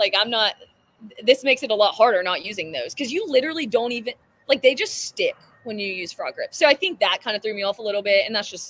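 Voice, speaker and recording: In a Southern US accent, a woman talks at a very fast pace in a fairly high pitch with lively intonation and big swings in loudness, in a dry, close sound with no echo. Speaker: CrossFit athlete. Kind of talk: casual interview.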